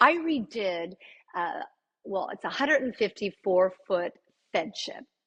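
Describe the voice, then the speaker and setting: A woman with a Canadian accent and medium pitch talks at a fairly slow pace, with very wide pitch swings, big swings in loudness and long, frequent pauses, in a dry, close sound with no echo. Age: 60s. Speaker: interior designer and architect. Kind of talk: interview.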